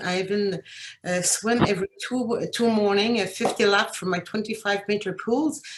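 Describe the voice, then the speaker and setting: A woman's medium-pitched voice with ordinary pitch variation at a moderate pace, over noticeable background noise. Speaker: cancer patient. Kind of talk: testimony. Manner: halting.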